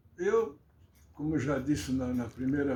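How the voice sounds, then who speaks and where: With a dark, mellow tone and vocal fry, a man speaks at a moderate pace with very wide pitch swings and audible room echo. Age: 80s+. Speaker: local historian. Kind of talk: interview.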